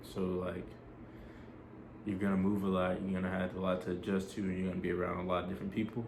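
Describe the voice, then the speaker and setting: A man speaks in a very deep, low voice with monotone, flat intonation. The room echo is audible. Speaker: army soldier vlogger. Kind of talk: casual vlog advice. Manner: fast; casual, filler-heavy.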